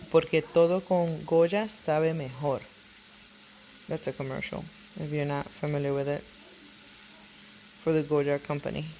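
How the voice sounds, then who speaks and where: Delivered at a moderate pace with fairly even intonation, the speech in a Puerto Rican accent is broken by long, frequent pauses. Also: woman, very deep, low pitch for a woman. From Puerto Rico. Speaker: cooking vlogger. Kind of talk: cooking tutorial. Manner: casual, chatty.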